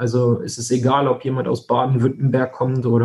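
This man speaks in a monotone, flat intonation at a moderate pace, his pitch medium. His tone is dark and mellow, and somewhat breathy. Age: 20s. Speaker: insurance broker, company founder. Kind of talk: interview.

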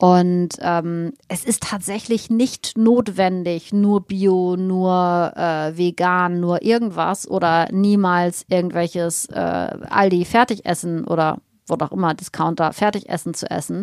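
A woman speaks very slowly, in a fairly low pitch with fairly even intonation and hardly any pauses. The recording is very clean, with a silent background. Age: 50s. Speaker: naturopath and nutrition expert. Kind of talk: casual interview.

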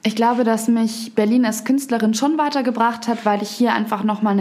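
This is an unremarkable speaking voice. Its intonation stays fairly even. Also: woman. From Upper Bavaria, Garmisch. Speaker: poetry slammer and author. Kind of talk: casual interview. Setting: studio.

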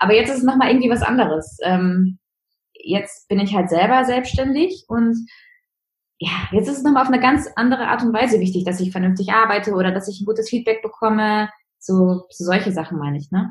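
A woman with a fairly high, somewhat breathy voice talks at a fairly quick pace with ordinary pitch variation. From Münsterland, North Rhine-Westphalia, Germany. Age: 20s. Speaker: virtual assistant, former law office employee. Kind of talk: interview. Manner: hesitant with many fillers.

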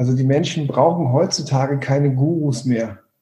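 A man with a dark, mellow tone and medium pitch talks at a moderate pace, sounding somewhat breathy. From Hamburg, northern Germany. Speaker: coach and trainer. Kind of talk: podcast interview.

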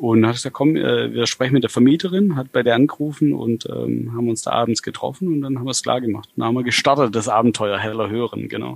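Talking very fast with hardly any pauses, a man uses ordinary pitch variation. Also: medium pitch for a man. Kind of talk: casual chat. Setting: video call.

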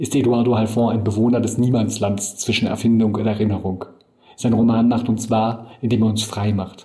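A man with a medium-pitched, dark, mellow and somewhat breathy voice speaks fairly quickly in a monotone, flat way, with audible room echo. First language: German. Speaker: podcast host and editor. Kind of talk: scripted narration.

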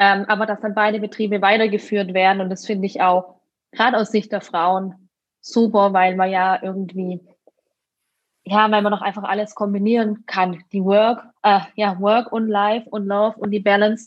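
In a monotone, flat delivery, a woman speaks at medium pitch. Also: moderate pace. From Württemberg, southern Germany. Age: 30s. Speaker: winemaker. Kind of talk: interview.

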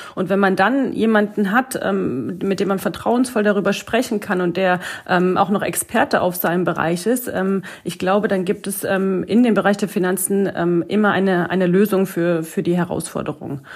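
Using an unremarkable speaking voice, a woman talks at a moderate pace and medium pitch with fairly even intonation. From Lower Saxony, near Hanover. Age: 30s. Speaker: financial advisor. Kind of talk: casual interview. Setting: home office video call.

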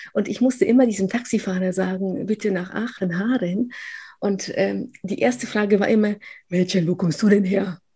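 Somewhat breathy, a woman speaks in a dark, mellow tone. Her pace is moderate and her pitch variation ordinary. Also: medium pitch for a woman. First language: Polish (speaking German). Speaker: professor. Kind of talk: interview. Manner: many fillers and restarts.

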